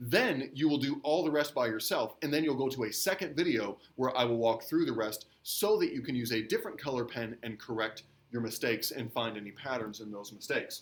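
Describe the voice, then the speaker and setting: A man with an unremarkable speaking voice talks at a fairly quick pace with hardly any pauses. His medium pitch moves with ordinary variation. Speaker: middle school teacher. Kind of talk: recorded grammar lesson. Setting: recorded video lesson.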